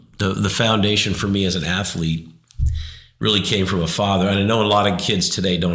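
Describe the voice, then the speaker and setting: A man with an American accent at a moderate pace, fairly even intonation, and audible room echo. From Arizona, US. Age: 60s. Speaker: interview guest sharing life story. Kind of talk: faith testimony interview. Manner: halting, many restarts.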